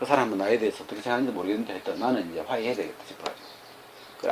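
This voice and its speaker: A man with a Gyeongsang accent speaks at a medium pitch. There is noticeable background noise. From Gyeongsang region, Korea. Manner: blunt, combative-sounding.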